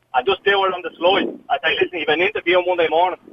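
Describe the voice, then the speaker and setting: Ordinary pitch variation marks a man's high-pitched voice as he speaks at a very fast pace. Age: 40s. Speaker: caller. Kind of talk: radio phone-in. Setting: phone call.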